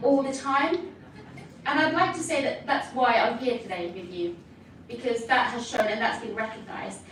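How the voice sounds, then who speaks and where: Over noticeable background noise and audible room echo, a woman talks in a high voice. Her intonation is lively and her pace moderate. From Philippines. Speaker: nurse. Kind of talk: conference speech. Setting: stage with audience. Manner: animated.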